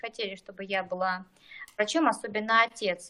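A woman speaks at a moderate pace with a bright, sharp tone. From eastern Kazakhstan, rural village. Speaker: general practitioner, doctor. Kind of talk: podcast interview.

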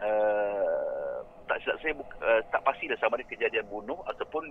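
A man speaks at a moderate pace in a Malaysian accent. Noticeable background noise runs underneath. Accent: Malaysian Malay. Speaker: paranormal YouTuber. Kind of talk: casual interview chat.

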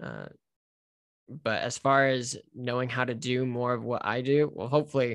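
In a very clean recording with a silent background, a man with an American accent speaks at a moderate pace in a normal speaking voice at medium pitch. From United States. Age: 20s. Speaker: author and missionary. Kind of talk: interview.

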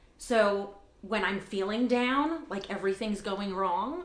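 Fairly slow speech with ordinary pitch variation and noticeable background noise. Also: woman. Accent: American. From New York City, Staten Island. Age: 30s. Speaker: marketing team leader. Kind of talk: casual interview chat.

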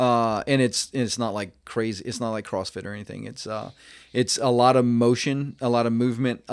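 The recording is very clean, with a silent background. A man with an ordinary speaking voice talks at medium pitch and a moderate pace. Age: 50s. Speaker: mountain bike coach and academy founder. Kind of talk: casual interview.

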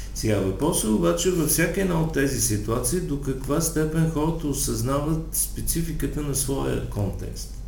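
A man speaks at a fairly slow pace with very even loudness and hardly any pauses, amid noticeable background noise and audible room echo. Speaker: sexologist and psychotherapist. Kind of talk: interview.

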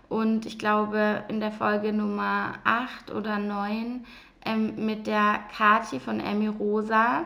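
In a room with audible echo, a woman speaks at a very slow pace in a fairly high, bright, sharp voice with fairly even intonation. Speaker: mindset coach and podcast host. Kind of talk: solo personal monologue.

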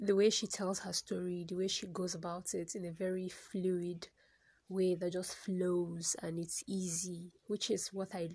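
The woman's voice is fairly low and somewhat breathy. Her intonation is monotone and flat. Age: 30s. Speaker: poet and new podcaster. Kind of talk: casual solo monologue, first podcast. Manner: hesitant, filler-heavy, reflective.

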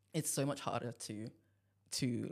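This man's voice carries noticeable vocal fry. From Nigeria. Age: 20s. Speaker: medical student and church musician. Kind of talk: casual chat.

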